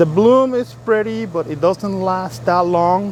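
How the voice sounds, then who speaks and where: A man speaks at a fairly slow pace with a Spanish accent, over noticeable background noise. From El Salvador. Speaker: YouTuber. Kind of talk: casual vlog narration. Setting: outdoors in a garden. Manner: halting, many fillers.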